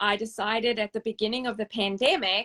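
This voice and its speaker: In a South African accent, a woman speaks with a bright, sharp tone, fairly high pitch and fairly even intonation, recorded very cleanly against a silent background with a dry, close sound and no echo. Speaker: service dog charity founder and trainer. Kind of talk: interview.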